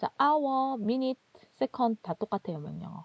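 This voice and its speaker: This woman talks with a strong Gyeongsang accent. Her pitch swings very widely. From Gyeongsang region, South Korea. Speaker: instructor. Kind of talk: lecture. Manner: conversational, explanatory.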